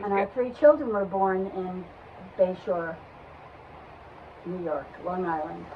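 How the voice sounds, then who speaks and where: Speaking very slowly with long, frequent pauses, a woman with an American accent uses a medium pitch and ordinary pitch variation. Noticeable background noise runs underneath. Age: 80s+. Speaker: grandmother interviewee. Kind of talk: family interview.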